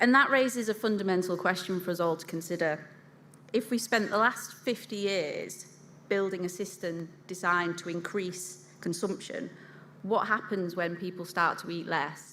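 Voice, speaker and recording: Here a woman speaks at a medium pitch with ordinary pitch variation. Audible room echo colors the recording. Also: moderate pace. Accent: Yorkshire. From England, Yorkshire. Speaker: food industry consultant, conference speaker. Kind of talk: conference keynote presentation.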